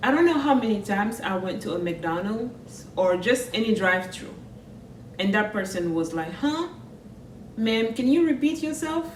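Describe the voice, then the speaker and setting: A woman with a Senegalese accent talks at a moderate pace in a fairly high pitch, her voice swinging very widely up and down, with audible room echo and noticeable background noise. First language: French. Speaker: vlogger. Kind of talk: personal vlog monologue.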